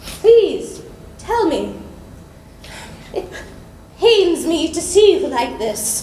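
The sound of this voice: In a put-on character voice, a woman speaks at an extremely high pitch with big pitch swings, a dark, mellow tone and a very slow pace, with audible room echo.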